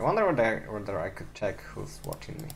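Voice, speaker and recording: With a non-native accent and vocal fry, a man speaks amid audible room echo. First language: not English. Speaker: live-streaming programmer. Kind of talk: casual live-stream commentary while coding. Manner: halting, many fillers and repeats.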